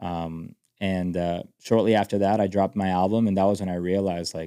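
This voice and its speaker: A man with a Spanish accent, very deep, low pitch, a dark, mellow tone, monotone, flat intonation and a fairly quick pace, on a very clean recording with a silent background. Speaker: country music singer. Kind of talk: podcast interview. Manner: halting, many fillers and restarts.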